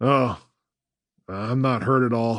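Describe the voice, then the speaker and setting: A strained, put-on character voice with fairly even intonation. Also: man. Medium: read story.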